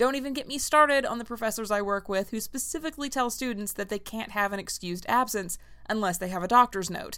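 A woman talks at a very fast pace. Her fairly high voice has a bright, sharp tone. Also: ordinary pitch variation. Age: 30s. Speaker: history professor and podcast host. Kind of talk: scripted history narration. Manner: casual, irreverent.

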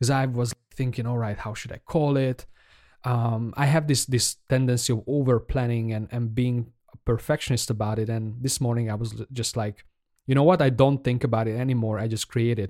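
In a Hungarian accent, a man speaks with a dark, mellow tone. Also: medium pitch for a man, fairly even intonation, fairly quick pace. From Hungary. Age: 30s. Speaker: podcaster, aspiring indie game developer. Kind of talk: casual solo podcast monologue. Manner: halting, hesitant, with filler words.

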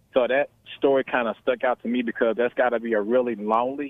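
Speaking at a fairly quick pace, a man with an American accent uses a normal speaking voice at a medium pitch. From US South. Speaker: caller. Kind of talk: phone-in call. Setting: phone call.

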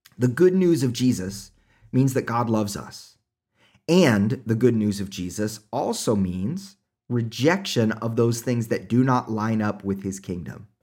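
In a very clean recording with a silent background, a man with an Oklahoma accent speaks at a fairly slow pace and medium pitch, his intonation lively and his tone dark and mellow. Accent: Oklahoma US Southern Plains. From Oklahoma, US. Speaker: pastor and podcast host. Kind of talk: sermon-style scripture commentary.

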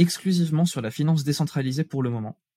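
A man speaks at a fairly quick pace with a fairly high pitch and ordinary variation. His tone is dark and mellow, with a dry, close sound and no echo. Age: 20s. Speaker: business student and crypto startup founder. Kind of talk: casual interview.

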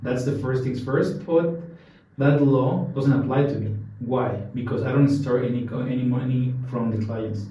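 Medium pitch from a man in a Mexican accent, at a fairly slow pace with fairly even intonation. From Mexico City. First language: Spanish. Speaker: Bitcoin ATM business founder. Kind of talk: interview conversation. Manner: halting, many fillers.

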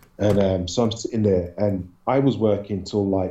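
A man with a London accent, fairly low in pitch with a dark, mellow tone, fairly even intonation and a moderate pace. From London, England. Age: 40s. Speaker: paranormal researcher and videographer. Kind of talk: interview storytelling.

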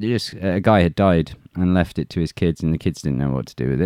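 A man's very deep, low voice with a dark, mellow tone, lively intonation and an English accent, dry and close with no echo. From England. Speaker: YouTuber and former soldier. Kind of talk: interview conversation. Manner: halting, many fillers and restarts.

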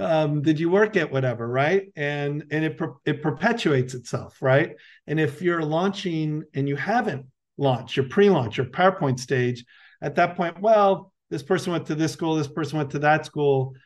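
Over a quiet background, a man with an American accent and a plain, everyday voice talks at a moderate pace with a fairly high pitch and ordinary pitch variation. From United States (born in Colombia, moved young). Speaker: venture capital investor. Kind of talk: interview.

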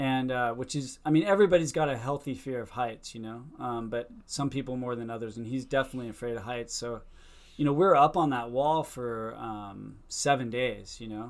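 With an American accent, a man speaks in a plain, everyday voice at a moderate pace and medium pitch, showing ordinary pitch variation and big swings in loudness. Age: 50s. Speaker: surfer and filmmaker. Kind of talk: casual chat.

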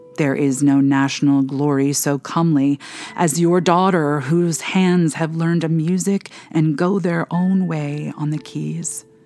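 Over noticeable background noise, a woman speaks in a solemn tone with a very deep, low pitch. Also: fairly even intonation, fairly slow pace. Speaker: spiritual director and prayer podcast host. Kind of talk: fervent intercessory prayer read aloud, pleading petitions to God. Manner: urgent, impassioned pleading with rising intensity; earnest, solemn, measured.

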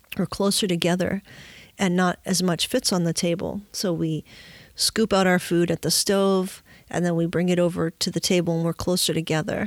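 This woman has a fairly low pitch and a monotone, flat intonation at very even loudness. The recording is very clean with a silent background and a dry, close sound with no echo. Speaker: podcast host. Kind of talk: reading a poem aloud, then reflecting. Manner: slow, measured, reverent; warm, contemplative.

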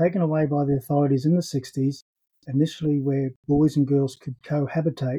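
Dry and close with no echo, a man with an Australian accent speaks at a moderate pace and fairly high pitch. His tone is dark and mellow, somewhat breathy, and his intonation monotone and flat. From Brisbane, Australia. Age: 60s. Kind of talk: personal testimony.

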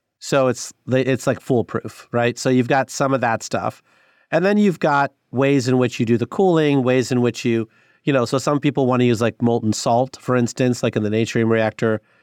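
A medium-pitched man with an American accent, a moderate pace, ordinary pitch variation and very even loudness, dry and close with no echo against a quiet background. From US Midwest, northwest Illinois. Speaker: government clean energy finance official. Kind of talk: interview.

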